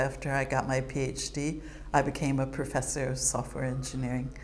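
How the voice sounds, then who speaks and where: A woman's very deep, low voice with an American accent, monotone and flat, at a moderate pace, with audible room echo. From United States. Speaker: retired computing professor. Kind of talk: interview monologue.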